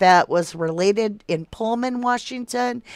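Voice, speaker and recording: A woman with a Southern US accent and a fairly high pitch speaks at a very slow pace with ordinary pitch variation, the sound dry and close with no echo. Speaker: true crime livestream host. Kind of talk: casual livestream chat reading viewer comments. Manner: casual, conversational.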